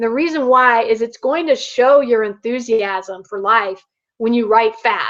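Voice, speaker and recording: A woman's high-pitched voice, at a moderate pace, with ordinary pitch variation. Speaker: online marketing coach. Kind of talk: webinar tutorial.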